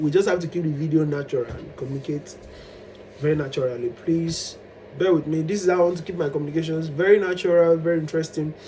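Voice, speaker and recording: This man talks at a very fast pace. His pitch sits fairly high. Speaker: vlogger. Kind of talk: personal storytelling monologue. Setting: self-recorded on camera. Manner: animated, at times loud.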